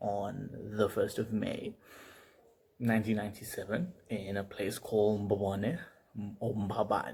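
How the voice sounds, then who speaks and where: A man with a fairly low voice speaks at a very slow pace, somewhat breathy. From Eswatini (Swaziland). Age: 20s. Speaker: medical student vlogger. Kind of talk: casual personal vlog. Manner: hesitant, many fillers.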